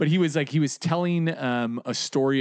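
A man with a plain, everyday voice speaks with lively intonation at a moderate pace. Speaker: comedian. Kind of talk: casual chat.

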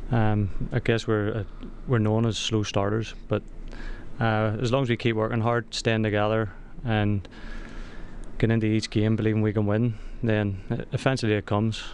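In a Northern Irish accent, a man talks at a moderate pace with a fairly low pitch and long, frequent pauses. His intonation is monotone and flat, and his loudness is very even. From Northern Ireland. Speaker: soccer player. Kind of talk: radio interview. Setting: studio.

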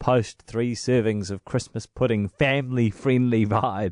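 Against a quiet background, a man with a New Zealand accent speaks fairly slowly at a medium pitch. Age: 30s. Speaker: radio host. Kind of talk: interview.

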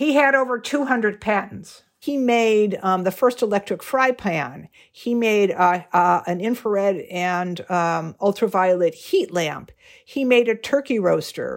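A woman with an American accent and a medium pitch, fairly slow and lively in intonation, on a very clean recording with a silent background. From Chicago. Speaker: family historian, inventor's daughter. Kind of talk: interview. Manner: hesitant, many fillers.

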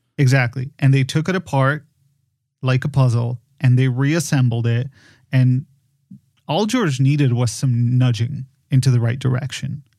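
A man's somewhat breathy voice of medium pitch, dark and mellow in tone, at a moderate pace with fairly even intonation and long, frequent pauses. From Poland. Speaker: podcast designer and film producer. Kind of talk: casual conversation. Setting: remote recording via software.

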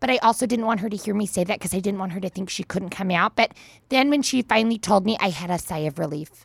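A woman with an Upper Midwest accent talks at a very fast pace, somewhat breathy, at medium pitch with ordinary variation. The sound is dry and close, with no echo. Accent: Upper Midwest American. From Minnesota, US. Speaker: host's mother. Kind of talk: casual interview.

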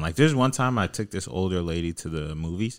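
A man with a normal speaking voice, lively intonation and a moderate pace, on a very clean recording with a silent background. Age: 20s. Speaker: podcast host. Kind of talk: casual chat. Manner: laughs often.

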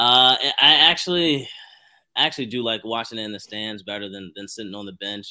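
Speaking at a fairly quick pace, a man with an ordinary speaking voice and fairly low pitch shows ordinary pitch variation and big swings in loudness. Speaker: former college wrestler and grad assistant coach. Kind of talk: casual interview chat.

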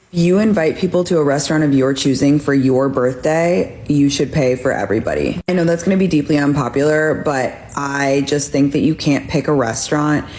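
A woman with a very deep, low voice talks at a moderate pace with ordinary pitch variation over noticeable background noise. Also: very even loudness. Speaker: author and news contributor. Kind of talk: comedic panel banter.

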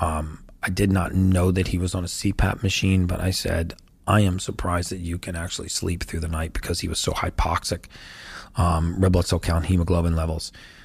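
Somewhat breathy, fairly quick speech with monotone, flat intonation on a very clean recording with a silent background. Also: man, very deep, low pitch for a man. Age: 50s. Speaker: health and longevity expert. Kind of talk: interview.

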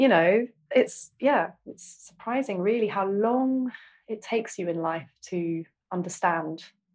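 A woman with an Essex accent, medium pitch, lively intonation and big swings in loudness. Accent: southern English (Essex). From Essex, England. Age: 40s. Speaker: single mother, therapy podcast guest. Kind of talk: therapy session. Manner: halting, many fillers.

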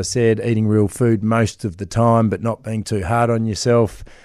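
On a very clean recording with a silent background, a man of medium pitch with an Australian accent speaks at a moderate pace. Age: 40s. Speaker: celebrity personal trainer. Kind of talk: radio interview.

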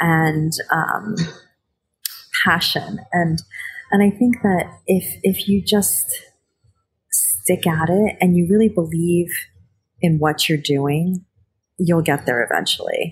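With music in the background, a woman with an American accent and a fairly low pitch talks at a very slow pace, with ordinary pitch variation, very even loudness and long, frequent pauses. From New Jersey, US. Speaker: chef and TV host. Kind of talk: interview. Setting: hotel lobby.

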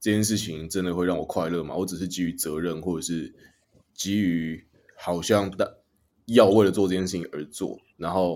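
Here is a man with a Taiwanese accent and a very deep, low pitch. His intonation is fairly even and his pace moderate. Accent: Taiwanese Mandarin. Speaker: podcast host. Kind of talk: casual chat.

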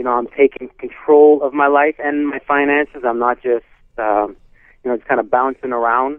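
A man with an ordinary speaking voice talks at a moderate pace and medium pitch with fairly even intonation. His loudness swings widely. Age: 40s. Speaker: actor and singer, client. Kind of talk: testimonial.

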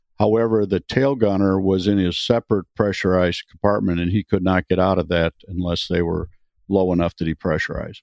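With an American accent, a man speaks in a very deep, low voice. His pace is fairly quick and his intonation fairly even. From US Midwest, Wisconsin. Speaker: retired airline pilot and vintage bomber pilot. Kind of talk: interview.

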